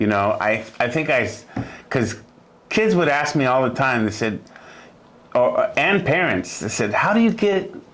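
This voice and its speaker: Audible room echo carries a man's voice at a fairly high pitch, with very wide pitch swings and very even loudness. He keeps a moderate pace broken by long, frequent pauses. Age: 60s. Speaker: music teacher. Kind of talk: interview. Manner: halting.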